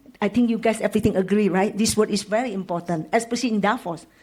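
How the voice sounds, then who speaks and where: With an Indonesian accent, a woman's fairly high, somewhat breathy voice shows ordinary pitch variation. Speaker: panelist. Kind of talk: panel discussion.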